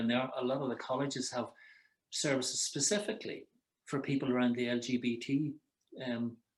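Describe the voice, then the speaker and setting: A man in an Irish accent, medium pitch, at a fairly quick pace. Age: 60s. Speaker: psychotherapist. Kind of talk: advice conversation. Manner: halting.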